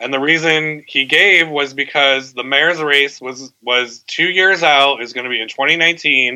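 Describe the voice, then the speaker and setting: This man has an American accent and a fairly high pitch. He talks at a fairly slow pace with fairly even intonation and hardly any pauses. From Connecticut, US. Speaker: newspaper editor. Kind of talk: radio interview. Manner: halting.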